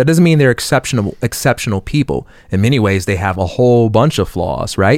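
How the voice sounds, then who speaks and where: With an American accent, a man has an ordinary speaking voice at a medium pitch, using lively intonation at a fairly quick pace. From Chicago. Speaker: education entrepreneur. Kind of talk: casual chat.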